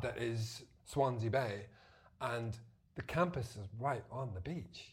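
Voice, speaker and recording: At a very slow pace, a man talks in a somewhat breathy voice. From Zimbabwe and Belfast. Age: 30s. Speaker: marine conservationist. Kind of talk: casual chat.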